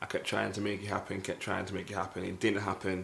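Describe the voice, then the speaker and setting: The speaker talks in a Mancunian accent with monotone, flat intonation. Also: man. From northern England, Manchester. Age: 20s. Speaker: podcast co-host. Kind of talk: casual chat.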